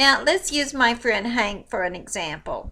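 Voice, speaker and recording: Lively intonation marks this woman's bright, sharp tone. She speaks at a fairly slow pace. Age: 60s. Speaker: spiritual teacher. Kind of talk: casual video talk. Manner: animated.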